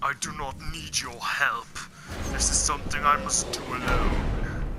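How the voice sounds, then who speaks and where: A man's put-on character voice, fairly high in pitch, at a moderate pace against loud background noise. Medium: game stream. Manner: growling, theatrical.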